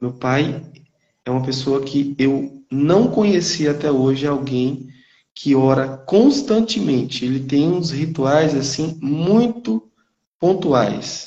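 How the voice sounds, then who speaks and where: Pacing is very slow for this man. His pitch is fairly high, with ordinary pitch variation. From Brazil, northeastern Minas Gerais. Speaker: teacher. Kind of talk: testimony.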